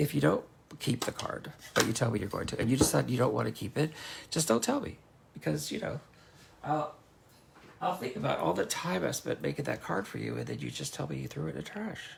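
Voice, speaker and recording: A man speaks at a very fast pace, with long, frequent pauses, amid noticeable background noise. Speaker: craft demonstrator. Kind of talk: craft tutorial. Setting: livestream. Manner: rambling, halting.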